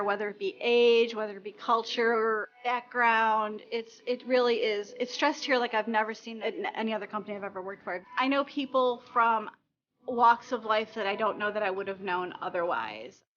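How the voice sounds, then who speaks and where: In a plain, everyday voice, a woman with a fairly high pitch talks at a moderate pace with ordinary pitch variation and hardly any pauses. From Chicago area, Illinois. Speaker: office employee, adoptive parent. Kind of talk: interview testimony.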